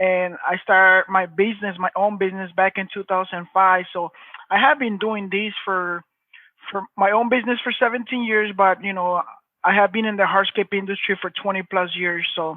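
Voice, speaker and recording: A man with a strong Mexican accent, high in pitch, at a moderate pace with fairly even intonation. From Mexico. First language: Spanish. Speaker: hardscape business owner. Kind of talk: interview.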